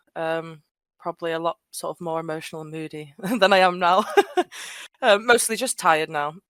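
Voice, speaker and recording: A fairly low-pitched woman at a fairly quick pace, ordinary pitch variation, big swings in loudness and long, frequent pauses, on a very clean recording with a silent background and a dry, close sound with no echo. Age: 20s. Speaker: Discord server founder, fan community. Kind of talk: casual podcast interview. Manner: hesitant, many fillers.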